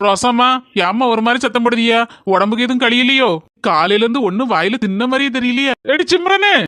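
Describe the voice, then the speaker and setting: Putting on a character voice, a man goes at a moderate pace, gruff and raised in projection, at an extremely high pitch. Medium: cartoon. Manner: gruff, bickering.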